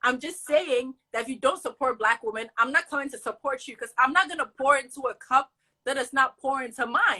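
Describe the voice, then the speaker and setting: A woman's raised, projected voice, high in pitch, with big swings in loudness. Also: ordinary pitch variation, fairly quick pace. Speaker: college student, social media creator. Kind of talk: casual chat. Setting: live video stream. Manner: animated.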